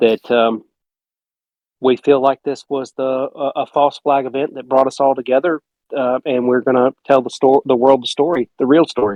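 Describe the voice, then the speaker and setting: Someone with a Southern US accent speaks at a moderate pace. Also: man. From South Carolina (Gaffney). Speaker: film director. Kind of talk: casual chat.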